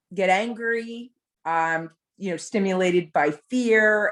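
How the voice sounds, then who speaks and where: Recorded very cleanly against a silent background, a woman with an ordinary speaking voice and an American accent talks at a medium pitch with ordinary pitch variation. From New Jersey. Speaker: brunch attendee. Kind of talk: casual chat.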